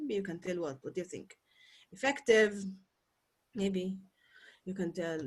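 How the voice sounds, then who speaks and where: A woman's somewhat breathy voice at medium pitch. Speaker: English teacher. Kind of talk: lecture.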